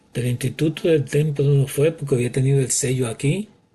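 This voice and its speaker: This man's fairly high, somewhat breathy voice moves at a fairly slow pace with ordinary pitch variation. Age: 60s. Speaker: bible teacher. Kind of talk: bible teaching monologue. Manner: halting.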